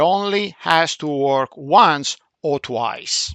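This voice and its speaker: Over a quiet background, a man with a Central European accent speaks at a fairly high pitch with ordinary pitch variation, in a dry, close sound with no echo. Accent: Middle European. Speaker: football coach. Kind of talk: video analysis for team. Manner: hesitant, with fillers.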